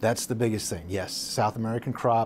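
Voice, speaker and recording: A man speaks at a fairly quick pace. There is light background noise. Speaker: guest. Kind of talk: interview answer. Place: studio.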